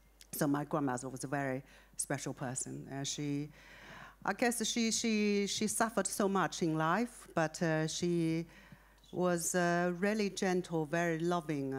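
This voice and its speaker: With a Chinese accent and fairly low pitch, a woman speaks fairly slowly with lively intonation in a very clean recording with a silent background. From China. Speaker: author. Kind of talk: interview. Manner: halting, many fillers.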